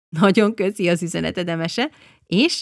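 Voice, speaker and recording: In a dry, close sound with no echo, a woman with a fairly low pitch speaks at a moderate pace in an animated tone. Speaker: podcast host. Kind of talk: scripted narration.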